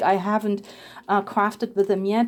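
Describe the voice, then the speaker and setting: Her voice has a dark, mellow tone. The woman has a non-native accent. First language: not English. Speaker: papercraft video creator. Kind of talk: crafting tutorial and product showcase. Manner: casual, with hesitations.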